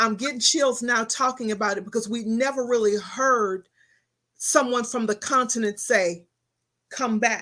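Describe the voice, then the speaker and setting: A woman with an American accent speaks at a fairly high pitch in a bright, sharp tone. The recording is very clean, with a silent background. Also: fairly even intonation. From Texas. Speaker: talk show host. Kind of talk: interview. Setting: studio.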